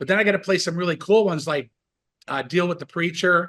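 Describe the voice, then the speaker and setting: A man speaks in an animated, excited tone. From US, western New York (Buffalo area). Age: 60s. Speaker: rock bass player and musician. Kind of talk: casual interview chat.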